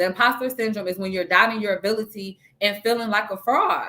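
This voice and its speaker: This woman's voice has a bright, sharp tone and an animated delivery. She speaks at a fairly quick pace. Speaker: therapist hosting a talk channel. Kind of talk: motivational monologue. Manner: fast.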